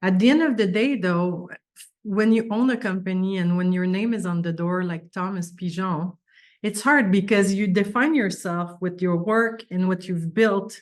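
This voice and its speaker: A woman with a French accent speaks at a moderate pace, her medium pitch showing ordinary variation. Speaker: business owner. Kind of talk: interview.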